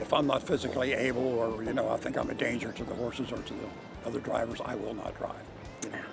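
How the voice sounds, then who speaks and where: The speech runs at a very fast pace. Audible room echo and noticeable background noise are present. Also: man. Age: 80s+. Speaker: harness racing driver. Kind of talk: interview. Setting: racetrack. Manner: halting.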